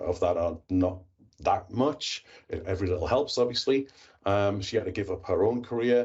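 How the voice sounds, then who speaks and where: At a moderate pace, a man speaks with a medium pitch. His voice is somewhat breathy, with ordinary pitch variation. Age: 50s. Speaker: IT professional and tech YouTuber. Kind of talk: podcast interview.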